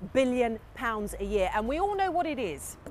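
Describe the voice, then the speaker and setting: Against noticeable background noise, a woman talks at a fairly quick pace with very wide pitch swings. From England. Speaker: newsreader and broadcaster. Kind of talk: consumer TV presenting.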